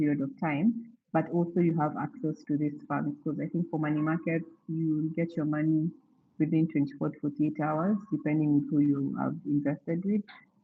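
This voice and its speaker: A woman's very deep, low voice moves along at a moderate pace. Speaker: financial speaker at church event. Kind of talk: talk / seminar presentation. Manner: halting, many fillers.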